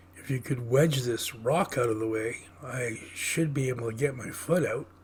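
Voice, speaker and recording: A man uses a raspy, put-on character voice at a medium pitch. He keeps a moderate pace over clear background noise. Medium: read story.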